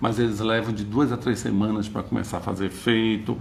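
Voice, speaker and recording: At a moderate pace, a man speaks amid noticeable background noise and audible room echo. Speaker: psychologist giving a talk. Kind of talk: lecture.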